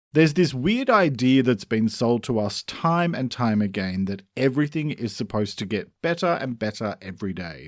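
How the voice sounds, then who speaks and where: Recorded very cleanly against silence, a man with an Australian accent swings his pitch very widely. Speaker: mental health podcast host. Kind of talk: podcast monologue. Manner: scripted, steady delivery.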